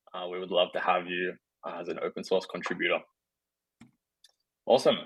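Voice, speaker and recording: A man with an Australian accent at a fairly quick pace, with big swings in loudness. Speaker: developer relations engineer giving a tech talk. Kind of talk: remote technical presentation. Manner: casual, filler-heavy.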